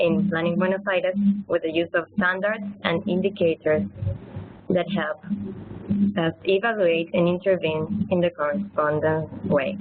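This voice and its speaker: A woman with an Argentine accent, medium pitch, fairly even intonation, very even loudness and a moderate pace, over noticeable background noise. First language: Spanish. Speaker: city planner. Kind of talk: webinar presentation. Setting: webinar.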